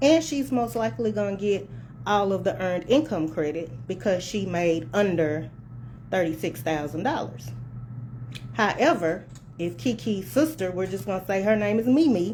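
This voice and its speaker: Speaking at a moderate pace, a woman with a medium pitch and a dark, mellow tone swings very widely in pitch, with vocal fry. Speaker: tax preparer. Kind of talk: casual talk to camera. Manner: soft-spoken; passionate, can sound like hollering.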